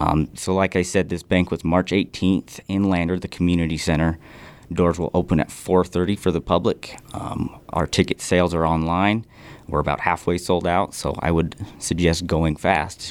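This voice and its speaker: A man's very deep, low voice in a rural Western US accent, flat and monotone at a moderate pace. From Fremont County, Wyoming. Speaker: hunter and conservation volunteer. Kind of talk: casual interview.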